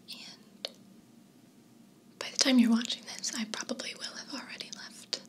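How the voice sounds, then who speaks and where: A woman whispers at a moderate pace, with big swings in loudness. Long, frequent pauses break her speech over noticeable background noise. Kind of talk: casual talk to camera. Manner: whispered, soft-spoken.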